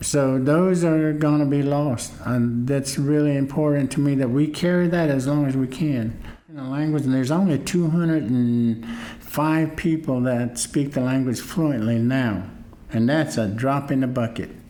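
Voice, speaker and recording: A man with an American accent speaks at a fairly high pitch and moderate pace, with ordinary pitch variation and very even loudness. Audible room echo and noticeable background noise are present. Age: 60s. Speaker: Cherokee language teacher. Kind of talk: interview. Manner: halting.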